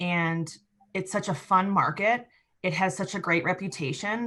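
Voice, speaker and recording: The pace is fairly quick. The voice carries a Midwestern accent. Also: woman. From US Midwest. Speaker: economic developer. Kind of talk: interview.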